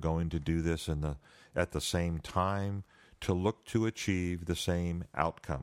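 A man with a very deep, low voice and an American accent speaks with ordinary pitch variation, his sound dry and close with no echo on a very clean recording over a silent background. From New Jersey. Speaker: podcast host. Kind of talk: solo monologue. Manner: halting.

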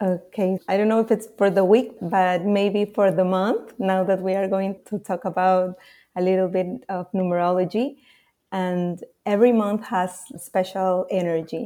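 A woman with a Spanish accent speaks at a medium pitch in a dark, mellow tone. Her pace is moderate and her intonation fairly even. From Peru, Lima. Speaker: marketer and numerology guide. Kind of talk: casual interview chat.

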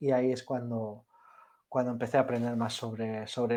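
A man with a Spanish accent speaks in a dark, mellow tone. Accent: Spanish (Spain). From Spain. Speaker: software developer. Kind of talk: interview. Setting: online audio space.

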